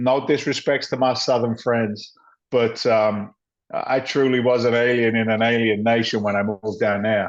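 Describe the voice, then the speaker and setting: A man's medium-pitched voice comes through against a quiet background. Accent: English. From England, London. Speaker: former firefighter and real estate investor. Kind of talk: interview storytelling. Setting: podcast recording. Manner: animated.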